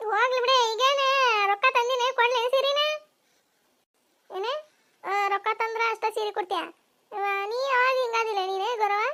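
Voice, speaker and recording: In a cartoonish character voice, a woman speaks at an extremely high pitch and a fairly slow pace. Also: fairly even intonation. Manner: blunt, rustic.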